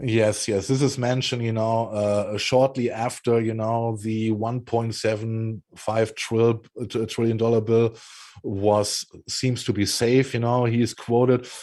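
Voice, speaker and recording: A man talks with a German accent. He is at medium pitch and a fairly slow pace. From Germany. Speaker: political commentary show co-host. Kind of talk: casual political discussion.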